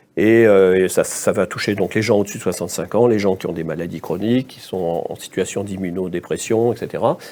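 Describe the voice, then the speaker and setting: With a dark, mellow tone and fairly low pitch, a man speaks at a fairly quick pace with hardly any pauses, fairly even intonation and big swings in loudness. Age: 60s. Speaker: infectious disease doctor. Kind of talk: interview. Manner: halting.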